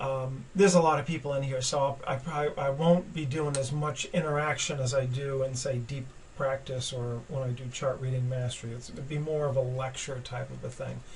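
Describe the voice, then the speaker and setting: With audible room echo, a man at medium pitch talks at a fairly quick pace with fairly even intonation and hardly any pauses. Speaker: trading educator. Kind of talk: webinar lecture. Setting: webinar. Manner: halting, many fillers.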